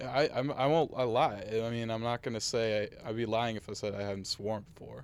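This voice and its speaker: A man with an American accent and an ordinary speaking voice, medium in pitch with ordinary pitch variation, at a fairly quick pace with hardly any pauses. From Massachusetts North Shore. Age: 20s. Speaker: college student. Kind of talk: casual chat.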